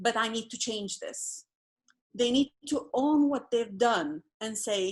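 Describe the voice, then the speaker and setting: Over a quiet background, a woman with a non-native accent speaks at a very slow pace, her fairly high pitch carrying lively intonation. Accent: non-local accent, sounds foreign. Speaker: participant in a spiritual community dialogue. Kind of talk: group video call discussion.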